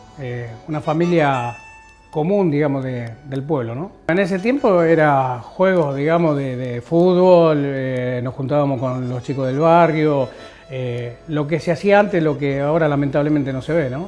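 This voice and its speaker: A man delivers his words at a fairly slow pace with ordinary pitch variation while music plays in the background. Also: fairly high pitch for a man. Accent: Rosario. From Argentina, Rosario (Santa Fe). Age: 50s. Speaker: war veteran. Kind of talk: testimony. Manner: halting, many fillers.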